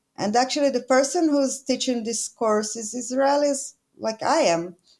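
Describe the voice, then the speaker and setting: A woman with a high voice and ordinary pitch variation speaks at a moderate pace. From Israel. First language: Hebrew. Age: 40s. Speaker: land investor. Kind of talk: interview. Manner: halting.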